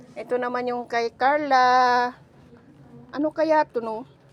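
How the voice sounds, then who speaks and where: The woman's voice sits high, captured with a dry, close sound and no echo. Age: 60s. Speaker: vlogger. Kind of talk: casual vlog. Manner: animated.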